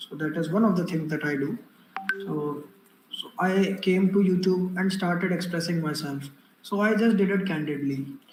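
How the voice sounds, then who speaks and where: A man speaks in a high pitch with an Indian accent. Audible room echo and noticeable background noise surround him. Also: ordinary pitch variation, moderate pace. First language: Hindi. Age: young. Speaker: public speaking coach and exam mentor. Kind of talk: online workshop talk. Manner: hesitant, many fillers.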